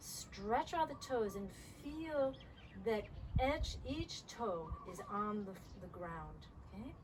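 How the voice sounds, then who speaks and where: The speech is very slow. Room echo is audible. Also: woman. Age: 60s. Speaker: yoga teacher. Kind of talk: guided yoga instruction.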